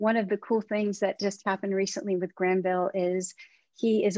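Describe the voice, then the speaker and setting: A woman talks with fairly even intonation. The sound is dry with no echo, and the background is quiet. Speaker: event host. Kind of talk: event introduction. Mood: warm and welcoming. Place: home room. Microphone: video call.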